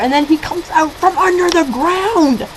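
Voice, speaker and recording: Lively intonation from a woman, with noticeable noise in the background. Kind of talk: casual movie review to webcam. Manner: hesitant, rambling, many fillers.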